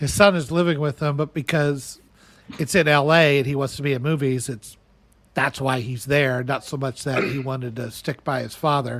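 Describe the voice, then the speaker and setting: Speaking with an American accent at a moderate pace, a man has an unremarkable speaking voice pitched fairly high. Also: fairly even intonation. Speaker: podcast host. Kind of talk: casual banter, opinionated.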